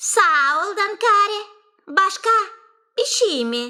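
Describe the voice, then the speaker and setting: An extremely high-pitched, squeaky, female-sounding cartoonish character voice speaks at a very slow pace. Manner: sly, wheedling.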